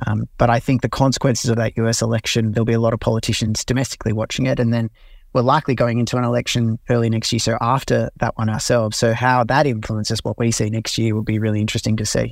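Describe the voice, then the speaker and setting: A very fast, monotone, flat delivery in an Australian accent, with hardly any pauses and a dry, close sound with no echo. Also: man, medium pitch for a man. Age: 30s. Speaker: political journalist. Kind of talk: interview.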